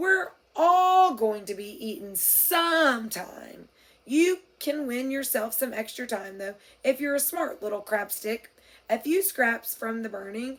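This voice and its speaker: A woman uses a put-on character voice, high in pitch. She talks at a fairly slow pace over a very clean recording with a silent background. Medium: read story. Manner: pompous, leisurely, condescending.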